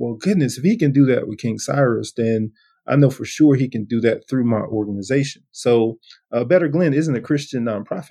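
In a Southern US accent, a man speaks at a medium pitch with ordinary pitch variation. His tone is dark and mellow. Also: fairly quick pace. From US South, coastal Georgia. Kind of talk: casual interview.

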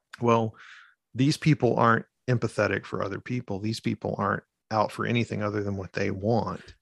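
A man's fairly low voice carries vocal fry and fairly even intonation at a fairly quick pace, recorded dry and close with no echo against a quiet background. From Arkansas, rural small town. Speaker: creative writing professor. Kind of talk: casual chat.

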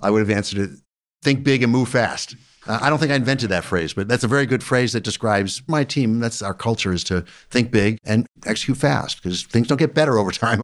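Against a quiet background, a man at medium pitch talks at a very fast pace with an energetic, animated tone and ordinary pitch variation. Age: 60s. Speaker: business founder and executive chairman. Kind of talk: casual interview conversation.

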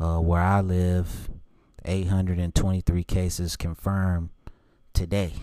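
A man's very deep, low voice in an American accent, dark and mellow, fairly slow and monotone with flat intonation and long, frequent pauses, in a very clean recording with a silent background. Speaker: podcast host, fan. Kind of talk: solo opinion podcast monologue. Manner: monotone, low energy; casual, rambling with filler words.

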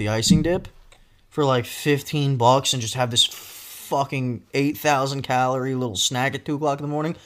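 This man has an American accent and a fairly high pitch. He talks at a moderate pace. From US Northeast. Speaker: podcast host. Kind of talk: casual chat. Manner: animated.

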